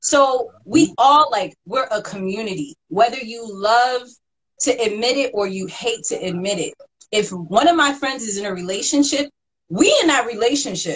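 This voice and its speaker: In a plain, everyday voice, the speaker moves at a moderate pace with lively intonation and big swings in loudness. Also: woman, fairly high pitch for a woman. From Ohio, US. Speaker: podcast host. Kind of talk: interview.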